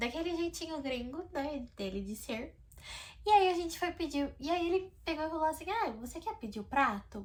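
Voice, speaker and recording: A woman's speech at a moderate pace, with very wide swings in pitch. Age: 20s. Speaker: vlogger. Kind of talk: storytelling vlog. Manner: talkative; animated.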